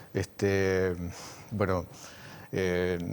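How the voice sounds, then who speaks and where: This man speaks at a fairly low pitch. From Argentina, southern Santa Fe (Venado Tuerto). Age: 70s. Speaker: radio station director and broadcaster. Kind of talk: interview. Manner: hesitant, many fillers.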